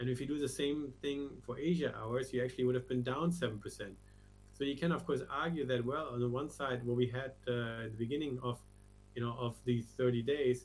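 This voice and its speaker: Music plays behind a man speaking with a German accent. He keeps a moderate pace and fairly even intonation. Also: medium pitch for a man. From Germany. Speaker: crypto research strategist. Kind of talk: interview.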